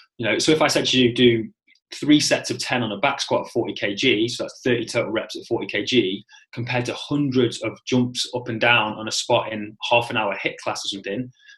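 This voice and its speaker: A man with a British accent. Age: 30s. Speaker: personal trainer educator. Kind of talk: interview.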